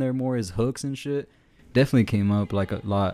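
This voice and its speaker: The voice has a dark, mellow tone and an American accent, with lively intonation. It races at a very fast pace on a very clean recording with a silent background. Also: man. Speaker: podcast co-host. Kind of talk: casual chat.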